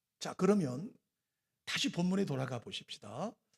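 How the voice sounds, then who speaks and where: A man's very wide pitch swings on a very clean recording with a silent background. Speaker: pastor. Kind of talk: sermon.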